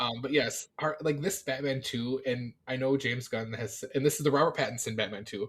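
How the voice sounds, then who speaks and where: The speaker talks at a fairly quick pace with ordinary pitch variation, sounding somewhat breathy. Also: man, medium pitch for a man. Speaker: podcast co-host. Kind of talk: casual chat. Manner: animated; fast.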